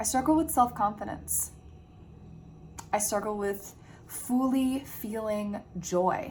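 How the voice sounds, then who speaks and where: A woman speaks at a very slow pace with long, frequent pauses and a somewhat breathy quality. Her pitch is fairly high, with ordinary variation. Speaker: self-help vlogger. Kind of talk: personal vlog monologue. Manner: candid, reflective.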